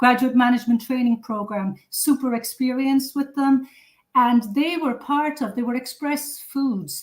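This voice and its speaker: The speaker talks at a fairly slow pace in an Irish accent. The intonation stays fairly even. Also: woman, high pitch for a woman. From Cork, southern Ireland. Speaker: food safety consultant. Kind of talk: interview.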